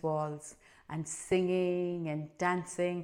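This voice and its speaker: A woman speaks in a Cork accent. Her pitch is fairly low and her intonation monotone and flat. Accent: Irish, Cork. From Ireland. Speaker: storyteller. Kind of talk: spoken introduction to camera.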